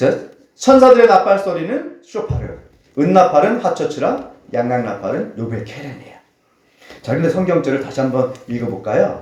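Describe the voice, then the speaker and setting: Amid audible room echo, a man talks at a moderate pace in a high pitch, with very wide pitch swings and big swings in loudness. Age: 50s. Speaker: pastor. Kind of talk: sermon.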